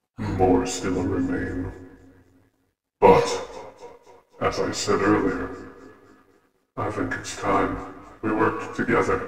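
A man's put-on character voice at a very slow pace, with long, frequent pauses and strong echo. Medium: actual play. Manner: calm, persuasive, cryptic.

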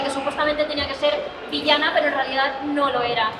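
A woman's voice with crowd noise in the background. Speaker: voice actress panelist. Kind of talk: panel talk. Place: hall.

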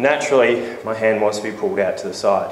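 Audible room echo with light background noise. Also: man. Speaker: fitness trainer. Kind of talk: tutorial. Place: gym.

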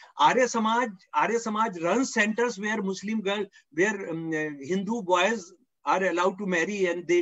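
A man's high-pitched voice with ordinary pitch variation at a moderate pace. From India (Delhi). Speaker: professor and author. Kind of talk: lecture. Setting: video call.

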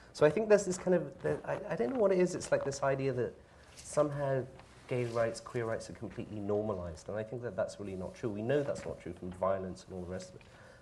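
Over light background noise, a man with a British accent talks at a very fast pace with very wide pitch swings. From Britain. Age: 40s. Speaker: panelist. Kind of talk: panel discussion. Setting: public forum with audience. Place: classroom. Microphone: camera far.

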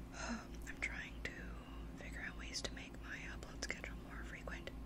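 A woman keeps a moderate pace while loud background noise plays around her. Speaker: ASMR creator. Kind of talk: ASMR whispered rambles. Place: home room. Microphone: studio mic.

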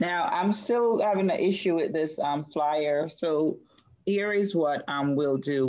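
An unremarkable speaking voice from a woman, fairly low in pitch, fairly slow, with ordinary pitch variation. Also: quiet background. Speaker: show producer. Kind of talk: casual chat. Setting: video call. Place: home room. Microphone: video call.

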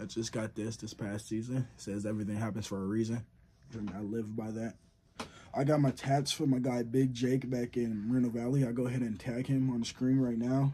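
There is light background noise behind a man talking at a fairly quick pace. His intonation stays fairly even. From Southern California. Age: young. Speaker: college football player, YouTuber. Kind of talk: casual Q&A vlog. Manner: casual, slangy. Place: home room. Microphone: phone near.

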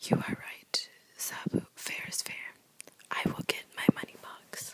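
Someone whispers. The delivery moves at a fairly slow pace. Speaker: reader of a children's book. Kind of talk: whispered ASMR picture book reading. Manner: whispered, soft, relaxing. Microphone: phone near.

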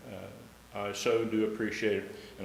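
Noticeable background noise and audible room echo accompany a man with an American accent and fairly low pitch. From Ohio. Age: 70s. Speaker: public commenter at city council. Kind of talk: public comment speech. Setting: city council meeting.

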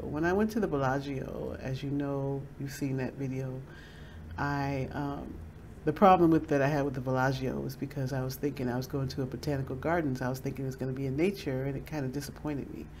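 Over light background noise, a woman speaks in a very deep, low voice with a dark, mellow tone and ordinary pitch variation. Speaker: vlogger. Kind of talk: casual vlog chat. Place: home room. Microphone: webcam.

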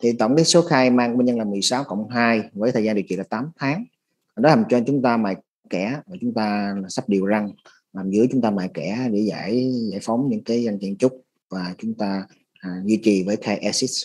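The delivery moves at a moderate pace. Pitch variation is ordinary. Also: man, medium pitch for a man. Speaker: interpreter for orthodontics webinar. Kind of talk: consecutive interpretation. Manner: halting, many fillers.

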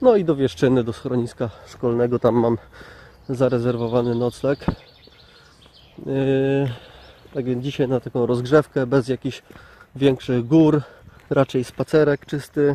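Speaking at a fairly slow pace with fairly even intonation, a man leaves long, frequent pauses, and the sound is dry with no echo. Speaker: hiker vlogger. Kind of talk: casual vlog chat. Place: open country. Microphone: phone near.

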